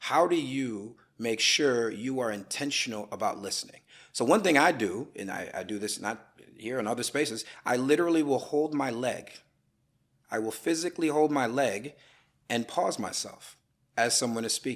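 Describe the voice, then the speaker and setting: A man with an American accent speaks at a moderate pace and medium pitch, with ordinary pitch variation, in a normal speaking voice. The recording is very clean, with a silent background. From US Midwest, Madison Wisconsin. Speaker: attorney and political analyst. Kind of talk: podcast interview.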